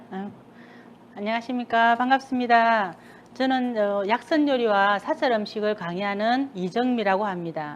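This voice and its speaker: Speaking at a moderate pace with a Busan accent, a woman uses a fairly high pitch and ordinary pitch variation. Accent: Gyeongsang (Busan) dialect. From South Korea, Busan. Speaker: cooking instructor. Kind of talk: cooking class talk. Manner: casual chatty.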